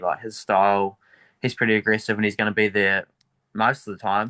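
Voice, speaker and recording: Against a quiet background, a man talks very fast in a fairly low voice. His tone is bright and sharp, his intonation monotone and flat. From New Zealand, Dunedin. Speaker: MMA fighter. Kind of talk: interview. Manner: casual, hesitant with fillers.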